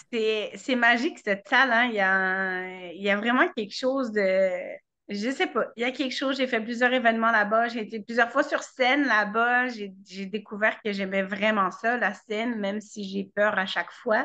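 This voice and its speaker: A woman talks at a moderate pace in a bright, sharp tone. Her pitch varies in an ordinary way against a quiet background. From France. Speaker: web show host. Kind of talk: casual chat. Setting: video call. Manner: animated.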